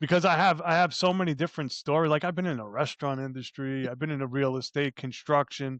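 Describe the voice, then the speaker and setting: A man talks in an animated tone with an American accent. His pitch varies in an ordinary way, and the sound is dry and close with no echo. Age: 60s. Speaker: life coach and entrepreneur. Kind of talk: casual interview chat. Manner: animated, with frequent repetitions and fillers.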